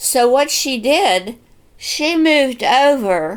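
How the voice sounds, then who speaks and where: A woman with a western Pennsylvania accent and very wide pitch swings, on a very clean recording with a silent background. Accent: western Pennsylvania American English. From western Pennsylvania, USA. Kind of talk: personal storytelling, family memories.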